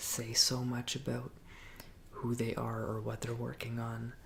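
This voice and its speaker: Soft-spoken, relaxed-toned delivery at a fairly slow pace. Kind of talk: ASMR Q and A, soft spoken talk to camera.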